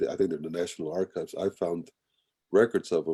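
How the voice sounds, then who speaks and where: A very fast male voice with a Spanish accent, in dry, close sound with no echo. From Colombia, raised in Kansas City from childhood. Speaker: writer, performer and artist. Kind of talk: interview talk. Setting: video call.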